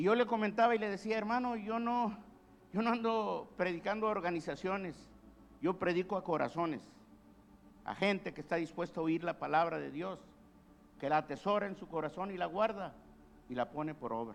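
This man's voice sits high in pitch. His intonation is lively. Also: fairly quick pace. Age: 70s. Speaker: pastor. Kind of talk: sermon.

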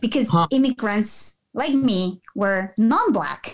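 The speaker talks at a fairly slow pace with a Spanish accent. The intonation is lively. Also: woman. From Peru. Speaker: nonprofit founder and executive director. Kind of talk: casual interview.

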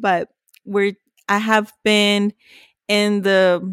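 The sound is dry and close with no echo as a woman speaks with a Spanish accent. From Mexico, Ciudad Juarez. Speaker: podcast co-host, accountant. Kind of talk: casual chat.

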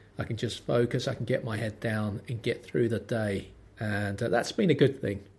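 With a London accent, a man talks at a moderate pace in a somewhat breathy voice with fairly even intonation. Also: medium pitch for a man. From London, Lambeth. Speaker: podcast host. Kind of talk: solo monologue podcast. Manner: tense, holds back chest voice; wry, dry delivery.

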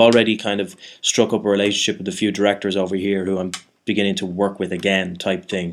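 Speaking very fast with a Dublin accent, a man holds a fairly low pitch in a monotone, flat delivery. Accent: Irish (Dublin). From Ireland. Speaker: actor. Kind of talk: casual chat. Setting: studio. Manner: halting, many false starts.

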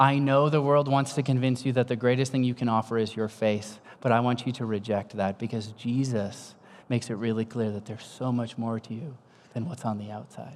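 A man's plain, everyday voice with fairly even intonation. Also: medium pitch for a man. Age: 50s. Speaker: pastor. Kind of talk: sermon.

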